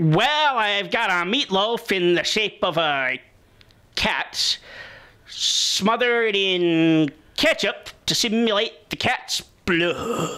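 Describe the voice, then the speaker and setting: Pitched fairly high, a cartoonish character voice drags along at a very slow pace. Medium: puppet show.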